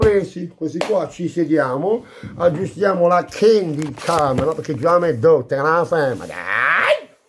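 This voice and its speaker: With light background noise, a man talks at a fairly slow pace using ordinary pitch variation. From Apulia, Bari area; Apulia. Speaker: food vlogger. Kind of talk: casual eating vlog. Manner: animated. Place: home room. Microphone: phone near.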